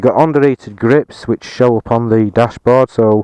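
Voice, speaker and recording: Dark and mellow in tone, the voice moves at a fairly quick pace with fairly even intonation. The sound is dry and close, with no echo. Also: man. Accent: Yorkshire. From Yorkshire, England. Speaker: motorcycle reviewer. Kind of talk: casual video review. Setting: outdoors on a hilltop. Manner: hesitant, many fillers.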